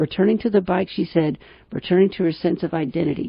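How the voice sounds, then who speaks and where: A woman talks at a fairly quick pace in a fairly low pitch. Her voice is somewhat breathy, with ordinary pitch variation. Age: 60s. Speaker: radio host and financial planner. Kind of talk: radio talk show commentary. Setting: radio studio.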